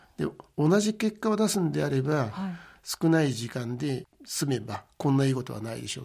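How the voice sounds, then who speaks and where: A man talks at a moderate pace and a medium pitch, his pitch swinging very widely. The recording is very clean, with a silent background. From Japan, Gunma (Maebashi). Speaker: company president. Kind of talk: radio interview. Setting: radio studio.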